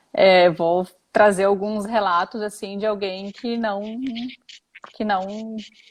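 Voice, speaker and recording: Very slowly and with long, frequent pauses, a woman speaks in a medium pitch with monotone, flat intonation. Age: 30s. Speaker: mother sharing pregnancy experiences. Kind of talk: interview testimony. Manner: halting.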